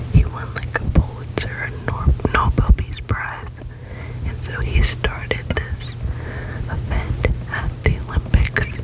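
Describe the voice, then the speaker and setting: Whispering over noticeable background noise, a woman speaks very slowly, with long, frequent pauses. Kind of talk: reading random facts with casual comments. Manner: whispered, close-up.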